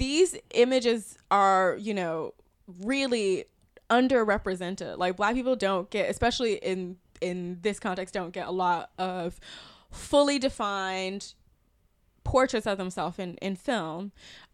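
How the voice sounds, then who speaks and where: A woman with an American accent and an ordinary speaking voice talks at a fairly slow pace, medium in pitch with ordinary variation, on a very clean recording with a silent background. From US South, South Carolina. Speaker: film critic. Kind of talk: casual film discussion. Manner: laughs often.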